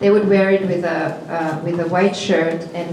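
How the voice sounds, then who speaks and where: A woman with a Serbo-Croatian accent speaks at a fairly slow pace, medium in pitch and fairly even in intonation. Noticeable background noise runs underneath. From former Yugoslavia (Serbia). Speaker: performance artist. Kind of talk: panel discussion. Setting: gallery with audience. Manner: halting.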